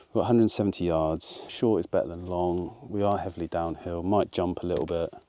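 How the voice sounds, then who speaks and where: Over a quiet background, a man with a British accent speaks fairly quickly in a very deep, low, dark and mellow voice with ordinary pitch variation. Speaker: golf vlogger. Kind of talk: casual golf vlog commentary. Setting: outdoors on a golf course. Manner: quiet, low voice.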